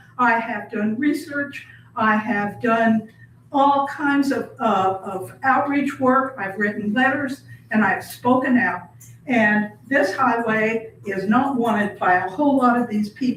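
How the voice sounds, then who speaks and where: Against noticeable background noise and audible room echo, a woman with an American accent speaks at a fairly slow pace in a high pitch with ordinary variation. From southern Indiana. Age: 80s+. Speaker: public commenter at county meeting. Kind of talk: public comment.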